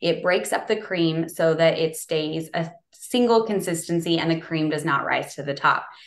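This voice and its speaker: An ordinary speaking voice with an American accent, at a moderate pace with hardly any pauses and ordinary pitch variation. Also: woman, fairly low pitch for a woman. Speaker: dairy farmer. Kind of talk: interview.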